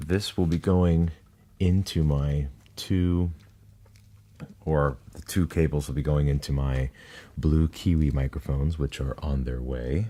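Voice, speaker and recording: His voice is very deep and low, with a dark, mellow tone, and he is soft-spoken. This man speaks at a fairly slow pace with ordinary pitch variation and long, frequent pauses. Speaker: ASMR creator. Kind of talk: ASMR soft-spoken unboxing narration.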